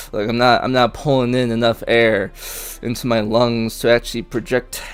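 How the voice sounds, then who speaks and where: Someone mumbles at a moderate pace while music plays in the background. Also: man. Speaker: gaming streamer. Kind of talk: tutorial. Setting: live stream. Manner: mumbling; halting.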